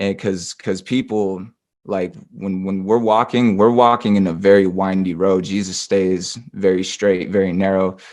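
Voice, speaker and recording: Over a quiet background, a man with a West Coast accent speaks at a very deep, low pitch. His intonation is monotone and flat, and his pace fairly slow. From southern Oregon, US. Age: 20s. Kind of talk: interview testimony. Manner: halting, many fillers and restarts.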